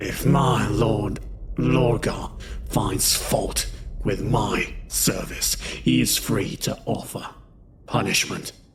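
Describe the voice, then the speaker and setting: A man drawls at a very slow pace in a put-on character voice. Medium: read story. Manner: restrained, defiant.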